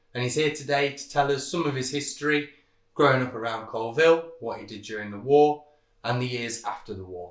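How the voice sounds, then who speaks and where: An unremarkable speaking voice goes at a fairly quick pace with ordinary pitch variation and big swings in loudness. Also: man, medium pitch for a man. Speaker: history channel host. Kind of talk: casual talk to camera.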